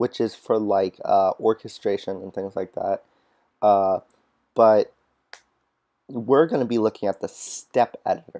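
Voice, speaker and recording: In a dry, close sound with no echo, a man speaks fairly slowly at a medium pitch with a dark, mellow tone. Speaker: music production tutor. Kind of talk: tutorial. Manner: casual, informal.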